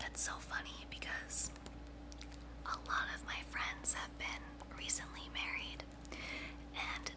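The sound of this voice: A woman whispers at a fairly slow pace.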